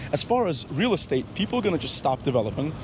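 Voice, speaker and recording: The male speaker rushes along very fast while noticeable noise fills the background. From Moscow, Russia. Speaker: interviewee on the street. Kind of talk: street interview.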